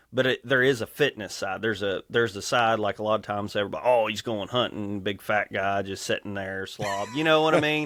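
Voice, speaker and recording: A man with a Kentucky accent talks at a very fast pace with hardly any pauses, in a fairly low pitch with ordinary pitch variation. The sound is dry and close with no echo. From Kentucky, rural farmland. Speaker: electrical lineman and endurance athlete. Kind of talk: podcast interview.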